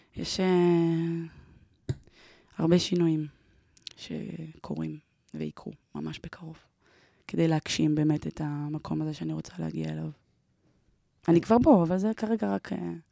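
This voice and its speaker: Taking long, frequent pauses, a woman speaks at a fairly slow pace. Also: big swings in loudness. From Israel, Ramat Gan. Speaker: event producer and emotional therapist. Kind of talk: personal interview storytelling.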